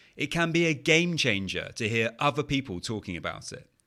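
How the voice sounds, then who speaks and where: A man with a British accent, medium pitch and a bright, sharp tone, very wide pitch swings and vocal fry at a fairly quick pace, in a very clean recording with a silent background. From England. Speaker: podcast host, anxiety coach. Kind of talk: podcast monologue. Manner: conversational, some filler words.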